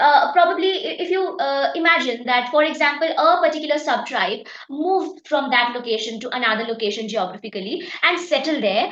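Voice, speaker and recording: Over noticeable background noise, a woman with a high pitch talks at a fairly quick pace with very wide pitch swings and hardly any pauses. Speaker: exam prep teacher. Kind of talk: lecture. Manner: halting, many fillers.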